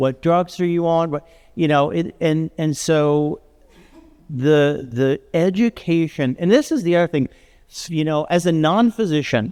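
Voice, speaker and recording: Ordinary pitch variation in a man's fairly high voice, fairly slow in pace. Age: 50s. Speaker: panelist, non-physician trainer of medical providers. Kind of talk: panel discussion. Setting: panel event with audience. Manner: halting, many fillers and restarts.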